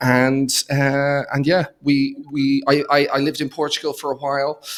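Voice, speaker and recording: With an Irish accent, a man speaks at a fairly high pitch. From Ireland, Dublin. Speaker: accountant and entrepreneur. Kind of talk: podcast interview. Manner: halting, many fillers and repeated words.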